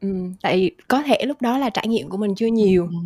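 A woman speaks in an unremarkable speaking voice, fairly high in pitch with ordinary pitch variation, on a very clean recording with a silent background. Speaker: guest. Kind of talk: casual chat.

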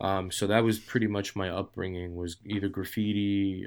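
On a very clean recording with a silent background, a man with a New York accent speaks at a moderate pace in a fairly low pitch. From New York, Queens. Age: 40s. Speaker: street artist. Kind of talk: casual chat.

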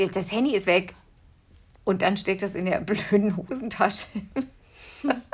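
Somewhat breathy and medium in pitch, a woman talks at a fairly slow pace with ordinary pitch variation and long, frequent pauses. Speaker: podcast co-host, mother. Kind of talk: casual chat.

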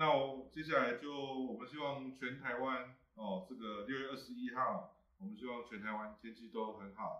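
A man uses an ordinary speaking voice at medium pitch, moving at a moderate pace with hardly any pauses, ordinary pitch variation and big swings in loudness. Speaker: livestream host. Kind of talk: casual panel talk.

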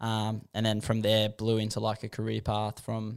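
With an Australian accent, a man speaks at medium pitch and a moderate pace in a flat, monotone way, recorded very cleanly against a silent background. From Western Sydney, Australia. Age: 20s. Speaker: pro scooter rider. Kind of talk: casual chat.

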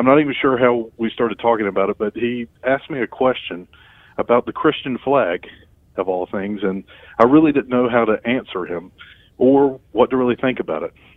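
The speaker has an ordinary speaking voice. The pace is fairly quick, and the pitch moves in an ordinary way. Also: man. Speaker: podcast co-host. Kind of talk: casual podcast chat. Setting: phone call.

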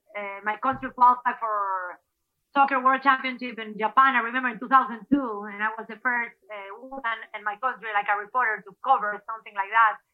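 A woman with a Spanish accent talks at a fairly quick pace in a fairly high pitch, her intonation fairly even while her loudness swings widely. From Ecuador. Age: 40s. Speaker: former TV anchor and athlete. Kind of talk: casual interview. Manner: halting.

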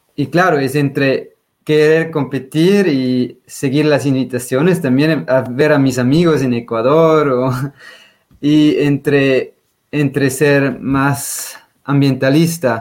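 A man with a Swiss German accent, fairly high pitch, fairly even intonation, very even loudness and a very slow pace. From Switzerland, German-speaking. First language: Swiss German (speaking Spanish). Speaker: trail runner and glaciologist. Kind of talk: interview.

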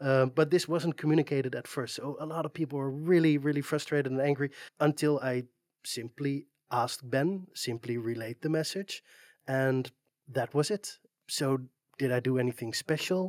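At a moderate pace and fairly high pitch, a man with a Dutch accent speaks with ordinary pitch variation, in a dry, close sound with no echo on a very clean recording with a silent background. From Netherlands. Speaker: community moderator and web developer. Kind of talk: interview. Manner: hesitant, many fillers.

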